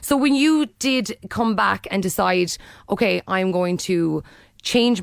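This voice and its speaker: On a very clean recording with a silent background, a woman with an Irish accent speaks at a medium pitch and moderate pace with lively intonation. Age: 30s. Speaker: radio host. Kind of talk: radio interview. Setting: radio studio.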